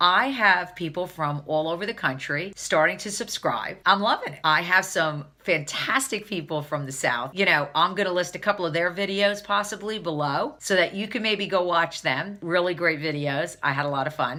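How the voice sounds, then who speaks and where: Loud and animated, a woman with a New Jersey accent talks at a fairly low pitch with ordinary pitch variation and hardly any pauses, amid noticeable background noise. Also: moderate pace. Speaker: beauty vlogger. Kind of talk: casual vlog tutorial.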